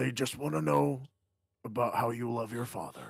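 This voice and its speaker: A man speaks in a put-on character voice. His pitch sits in the medium range and his pace is moderate. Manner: warm, reassuring.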